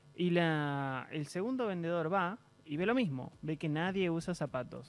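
With ordinary pitch variation, a man talks at a fairly high pitch in a dry sound with no echo. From Argentina. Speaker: interview guest. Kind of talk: TV interview. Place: studio. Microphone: studio mic.

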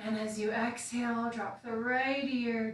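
A woman at a very slow pace in a calm, soothing tone with monotone, flat intonation, over light background noise and audible room echo. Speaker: meditation instructor. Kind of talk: guided meditation and gentle movement class, calm and instructive. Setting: video livestream to online audience. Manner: calm, soothing, slow-paced; casual, chatty with filler words in intro. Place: home room. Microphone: camera far.

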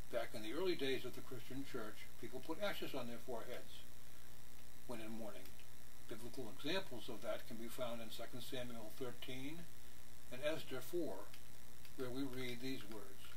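Against noticeable background noise, a man talks at a moderate pace with long, frequent pauses. His pitch is medium, with ordinary variation. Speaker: church pastor. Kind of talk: religious meditation. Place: home room. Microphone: webcam.

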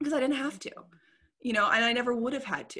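With an American accent and a bright, sharp tone, a woman speaks over a quiet background. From Indiana or Louisville area, US Midwest. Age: 30s. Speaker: history content creator. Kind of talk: casual chat. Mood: reflective, candid. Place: home room. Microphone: earbuds.

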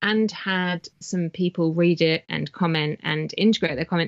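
A woman speaks at a fairly slow pace in a southern English accent, her medium pitch showing ordinary variation. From southern England, Wiltshire near Salisbury. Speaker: author. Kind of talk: casual interview chat. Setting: remote call from home office.

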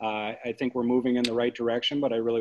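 With an American accent, a man speaks in a monotone, flat intonation. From Minnesota, Maplewood and North St. Paul. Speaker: physician and city council candidate. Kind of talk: candidate forum answers.

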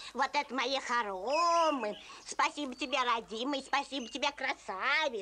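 Against clear background noise, a woman talks at a moderate pace in a high pitch. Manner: folksy, lively.

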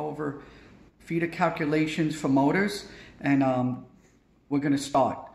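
Amid audible room echo, a man speaks at a fairly slow pace, somewhat breathy, with fairly even intonation and long, frequent pauses. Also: fairly high pitch for a man. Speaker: electrical trade instructor. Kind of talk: tutorial. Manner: informal, repetitive. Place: home room. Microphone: phone near.

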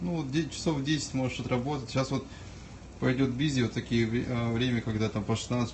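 Against light background noise, a man talks at a moderate pace with fairly even intonation. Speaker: vlogger. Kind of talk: casual vlog chat. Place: kitchen. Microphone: phone near.

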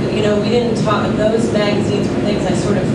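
Amid loud background noise and audible room echo, a woman speaks at a moderate pace. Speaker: panelist. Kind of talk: panel discussion answer. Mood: reflective. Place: hall.

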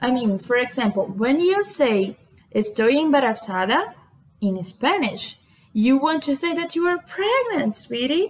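The woman's voice is high in pitch. Her pitch swings very widely. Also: fairly slow pace. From Brazil. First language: Portuguese. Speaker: vlogger. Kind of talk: casual talk to camera. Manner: chatty, informal. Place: home room. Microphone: webcam.

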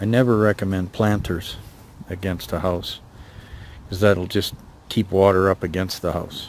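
A man speaks at a low pitch.

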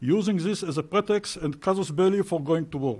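A man speaks at a fairly quick pace with a high pitch for a man. His pitch varies in an ordinary way against a quiet background. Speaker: retired intelligence officer. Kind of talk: conference talk.

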